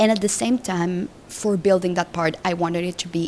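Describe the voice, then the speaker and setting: A woman with a Spanish accent speaks at a moderate pace in a fairly low voice, her pitch varying in an ordinary way. Background noise is noticeable. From Colombia. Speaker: film director. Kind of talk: interview. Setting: festival.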